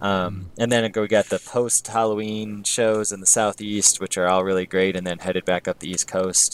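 A man speaks at a moderate pace with hardly any pauses. His intonation is monotone and flat, and the sound is dry and close with no echo. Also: fairly low pitch for a man. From US Midwest. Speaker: music podcast co-host. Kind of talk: casual chat.

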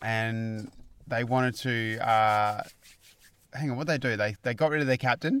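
Speaking at a fairly slow pace with long, frequent pauses, a man keeps a medium pitch and fairly even intonation. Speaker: podcast co-host. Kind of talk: casual chat.

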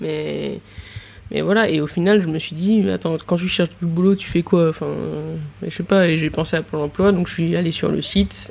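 Noticeable noise sits in the background. A woman's speech moves at a moderate pace. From Nice, southern France. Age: 20s. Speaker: chef. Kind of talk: casual interview.

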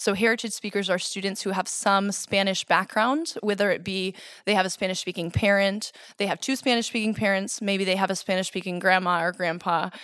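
With an American accent, a woman speaks at a medium pitch and a fairly quick pace in an unremarkable speaking voice. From Boston suburbs, Massachusetts. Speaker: kindergarten Spanish immersion teacher. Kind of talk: interview.

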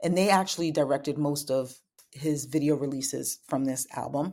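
On a very clean recording with a silent background, a woman speaks with a very deep, low pitch and a dark, mellow tone. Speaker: podcast host. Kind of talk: casual chat.

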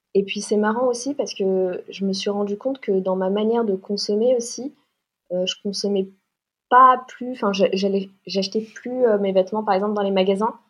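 Against a quiet background, a woman speaks at a moderate pace in a medium pitch. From Paris, France. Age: 20s. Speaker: fashion designer and leather goods entrepreneur. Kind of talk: podcast interview. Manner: hesitant, many fillers and repetitions.

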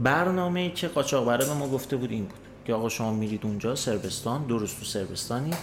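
Someone speaks at a very fast pace with lively intonation, and the room echo is audible. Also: man, medium pitch for a man. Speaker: would-be migrant sharing experience. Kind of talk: casual storytelling.

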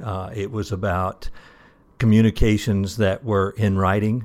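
Someone speaks with a Southern US accent in a very clean recording with a silent background. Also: man. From US South. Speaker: retired association president. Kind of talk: casual interview. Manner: repeats words, hesitant.

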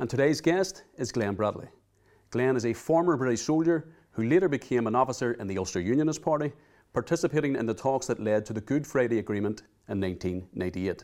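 On a very clean recording with a silent background, a man in a Northern Irish accent talks very fast at a medium pitch with lively intonation. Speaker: podcast host. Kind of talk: interview. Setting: studio.

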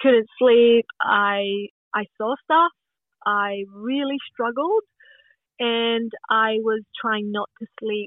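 Here a woman speaks with a Scottish accent at a very slow pace. Her voice is fairly high in pitch, with ordinary pitch variation. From Scotland. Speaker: podcast guest. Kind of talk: casual chat.

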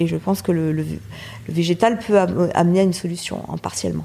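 A woman with a fairly low pitch talks at a fairly quick pace. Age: 40s. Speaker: chef. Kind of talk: interview. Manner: halting.

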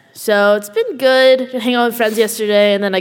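A woman with a Canadian accent speaks at a medium pitch and a fairly quick pace over noticeable background noise. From Canada. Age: 20s. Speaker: YouTuber. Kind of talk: live panel discussion. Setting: stage with audience. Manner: halting.

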